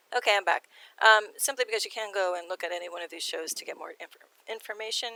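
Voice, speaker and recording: Very fast and bright, sharp in tone, a woman talks at a medium pitch. Her pitch varies in an ordinary way, while her loudness swings widely. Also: dry, close sound with no echo. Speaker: video blogger on sky phenomena. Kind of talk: casual narrated slideshow commentary. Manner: hesitant, many fillers.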